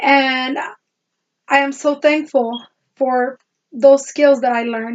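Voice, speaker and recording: With a non-native accent, a woman talks at a very slow pace. Her speech has long, frequent pauses. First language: not English. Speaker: student. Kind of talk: class presentation. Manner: halting.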